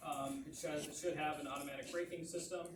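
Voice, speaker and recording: In a room with audible echo, a man talks at a fairly quick pace in a fairly high voice. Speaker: planning consultant. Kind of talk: public meeting presentation. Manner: fast; halting, repeats words.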